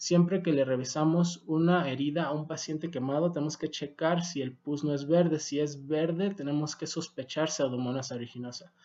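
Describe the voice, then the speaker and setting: In a non-native accent, a man speaks with a dark, mellow tone. His pitch is fairly high and his intonation fairly even. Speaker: medical doctor and educator. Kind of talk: video lecture.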